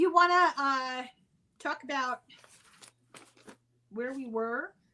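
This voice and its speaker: A woman's raised, projected voice at a high pitch, very slow, with ordinary pitch variation. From Ireland. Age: old. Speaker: podcast host on spirituality. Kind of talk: casual discussion.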